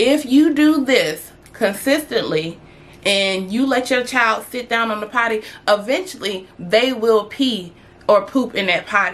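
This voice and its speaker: Her tone animated and her intonation lively, a woman speaks at a fairly slow pace in a fairly high pitch. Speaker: parenting vlogger. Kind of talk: casual tutorial vlog.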